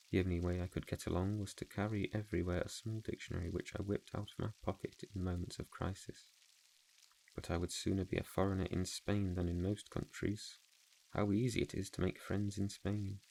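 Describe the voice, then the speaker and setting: Soft-spoken and calm, a man with a fairly low pitch and a dark, mellow tone talks at a fairly quick pace in a monotone, flat intonation. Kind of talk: audiobook reading for relaxation. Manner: soft-spoken, calm.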